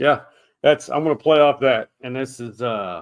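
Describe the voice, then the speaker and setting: The speaker talks in a Texan accent. The pace is fairly slow. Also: man. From Texas, Austin. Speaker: podcast host, former sports media. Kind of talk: casual chat.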